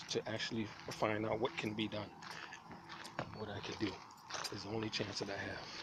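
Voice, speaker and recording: Noticeable background noise behind a man with an American accent. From New York City (Manhattan, South Bronx). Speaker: homeless vlogger. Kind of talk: personal video diary. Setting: outdoors. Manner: halting, repetitive.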